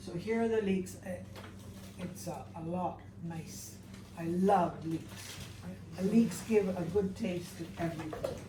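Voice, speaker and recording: A woman speaks fairly slowly at a fairly low pitch, with ordinary pitch variation, long, frequent pauses and big swings in loudness. Audible room echo and noticeable background noise fill the recording. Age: 70s. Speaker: cooking instructor. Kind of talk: cooking demonstration.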